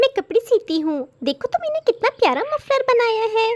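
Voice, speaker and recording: Squeaky and extremely high, a woman's cartoonish character voice swings very widely in pitch at a moderate pace, with a dry, close sound and no echo. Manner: gentle, earnest.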